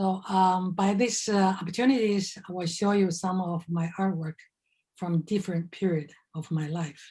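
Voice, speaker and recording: In a Chinese accent, a woman speaks at a moderate pace with a medium pitch and a dark, mellow, somewhat breathy tone, her intonation fairly even, on a very clean recording with a silent background. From China. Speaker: artist. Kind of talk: artist talk presentation. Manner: halting with many fillers.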